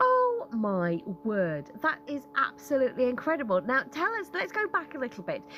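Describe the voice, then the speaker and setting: Music plays in the background as a woman talks at a moderate pace. Her tone is upbeat. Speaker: radio presenter. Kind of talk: radio interviewer. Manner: upbeat, friendly.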